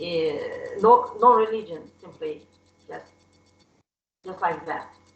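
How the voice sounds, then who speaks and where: The room echo is audible. A woman speaks at a very slow pace. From Soviet Union. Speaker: class participant. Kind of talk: testimony. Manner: halting.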